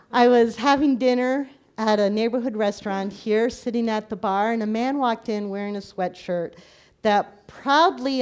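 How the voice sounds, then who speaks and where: With an ordinary speaking voice, a woman talks at a fairly high pitch and a moderate pace, with ordinary pitch variation over a quiet background. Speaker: minister. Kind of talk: sermon. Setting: live recording in a church.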